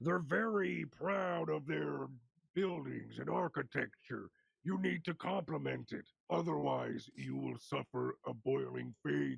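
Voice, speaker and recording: Using a put-on character voice, a man speaks at a fairly slow pace in a medium pitch. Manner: two voices in unison.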